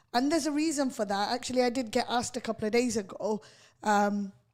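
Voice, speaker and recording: The recording is very clean, with a silent background. A woman speaks at a fairly quick pace with ordinary pitch variation. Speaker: radio host, litigation lawyer. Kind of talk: radio interview. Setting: radio studio. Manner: firm, sounds aggressive to others.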